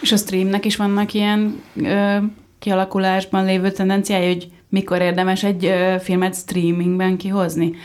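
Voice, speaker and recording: At a moderate pace, a woman talks at a medium pitch in a monotone, flat intonation. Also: very even loudness. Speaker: podcast co-host. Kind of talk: panel discussion. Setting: studio.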